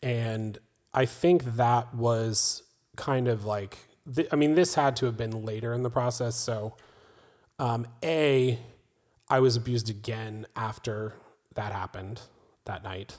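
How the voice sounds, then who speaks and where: A man with an American accent, fairly slow delivery with long, frequent pauses, ordinary pitch variation, and a very clean recording with a silent background. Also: medium pitch for a man. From US South, North Carolina. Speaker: film producer. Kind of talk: interview about personal history.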